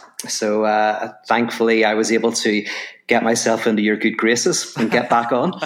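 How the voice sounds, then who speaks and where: Fairly even intonation in an Irish accent. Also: man, medium pitch for a man, moderate pace, very even loudness. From Ireland. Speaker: philosopher and author. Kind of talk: podcast interview.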